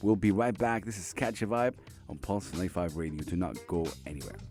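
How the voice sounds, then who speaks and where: A man speaks with music playing in the background. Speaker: radio host. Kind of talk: radio show intro.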